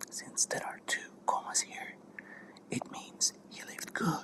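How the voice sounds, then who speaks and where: Whispering at a fairly slow pace with long, frequent pauses, the voice comes through noticeable background noise. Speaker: language student. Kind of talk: ASMR study session talk. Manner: soft-spoken.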